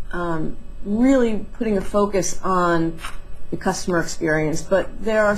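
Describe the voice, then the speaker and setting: Light background noise sits behind a woman's somewhat breathy voice. Her intonation is fairly even. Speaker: interview guest. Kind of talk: interview answer. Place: office. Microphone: headset.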